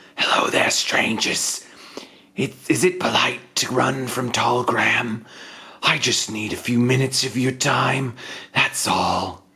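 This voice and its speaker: In a put-on character voice, the speaker sounds raspy at a low-to-middle pitch and talks at a fairly slow pace. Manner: eager, unsettling, faux-polite.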